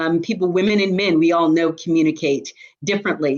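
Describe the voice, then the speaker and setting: A woman speaks in a fairly low pitch with ordinary pitch variation. The background is quiet. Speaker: diversity and inclusion executive. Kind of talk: webinar presentation. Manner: fast.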